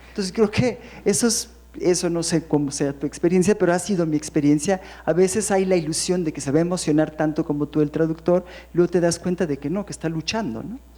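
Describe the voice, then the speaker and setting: At a fairly quick pace, a woman speaks in a dark, mellow tone with ordinary pitch variation. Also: fairly low pitch for a woman. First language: English (speaking Spanish). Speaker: poet. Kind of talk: panel discussion. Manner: halting.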